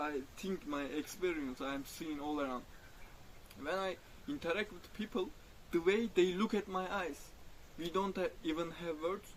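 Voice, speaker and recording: A man with a Turkish accent speaks at a moderate pace and a high pitch. He takes long, frequent pauses, and his pitch variation is ordinary. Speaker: spiritual vlogger. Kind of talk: personal reflective monologue. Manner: halting, self-correcting.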